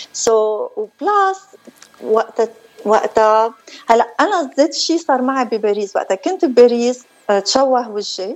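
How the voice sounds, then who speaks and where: With lively intonation and a high pitch, a woman speaks at a fairly slow pace. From northern Lebanon. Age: 50s. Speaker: beautician and former media personality. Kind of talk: interview.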